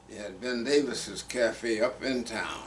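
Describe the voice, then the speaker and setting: Speaking at a very slow pace in a Texas accent, a man keeps a medium pitch and fairly even intonation. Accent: Southern US, Texas. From Fayette County, Texas. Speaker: retired soil conservationist, Navy veteran. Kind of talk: oral history interview answer.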